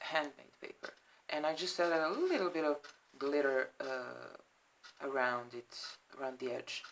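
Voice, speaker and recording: A woman speaks at a very deep, low pitch with a non-native accent. Her intonation is fairly even. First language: not English. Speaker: crafter showing handmade journals. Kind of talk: product flip-through. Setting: at home, apartment. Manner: halting, many fillers.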